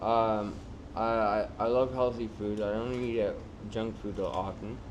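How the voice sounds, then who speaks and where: Man in a Canadian accent, medium pitch, monotone and flat intonation, fairly slow pace, audible room echo. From Canada, Toronto area. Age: 30s. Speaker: homeless man with addiction. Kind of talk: documentary interview. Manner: hesitant, many fillers.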